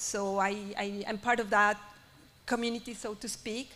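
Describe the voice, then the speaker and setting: A woman speaks with a Spanish accent at a moderate pace, her fairly high pitch held in a monotone, flat intonation. Her tone is bright and sharp. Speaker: artist. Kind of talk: panel discussion. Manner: halting, many repetitions.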